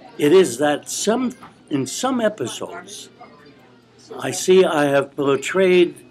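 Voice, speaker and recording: A man speaks with very wide pitch swings. Noticeable background noise runs behind him. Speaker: retired professor and author. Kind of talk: interview answer. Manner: gentlemanly, candid.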